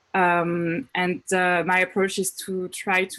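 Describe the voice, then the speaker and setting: A woman with a French accent, medium in pitch, speaking at a very slow pace against a quiet background. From France. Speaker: astrophysics researcher. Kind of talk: panel self-introduction. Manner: hesitant, many fillers.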